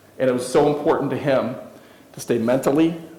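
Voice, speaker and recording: A man talks at a moderate pace while noticeable background noise and audible room echo fill the recording. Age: 50s. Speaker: keynote speaker. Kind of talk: motivational speech.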